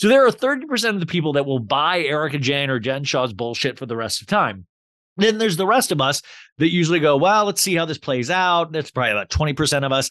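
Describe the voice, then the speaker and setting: In a General American accent, a man with a fairly high pitch talks very fast in an animated tone, his pitch swinging very widely. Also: quiet background. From Arizona (Scottsdale area), earlier Kansas. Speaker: podcast host. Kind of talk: casual chat. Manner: talkative, animated.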